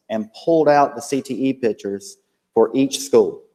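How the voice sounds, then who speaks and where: A dark, mellow tone with a North Carolina accent. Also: man. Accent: Southern US (North Carolina). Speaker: school district program director. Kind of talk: presentation at board meeting.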